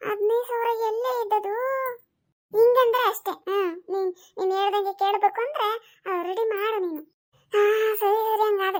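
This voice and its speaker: In a cartoonish character voice, a woman speaks at an extremely high pitch and a fairly slow pace. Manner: fretful, complaining.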